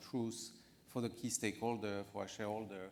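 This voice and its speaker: Audible room echo surrounds a man speaking at a fairly low pitch in a monotone, flat delivery. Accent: French. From France. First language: French. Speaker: finance executive panelist. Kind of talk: conference panel discussion. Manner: halting, many fillers.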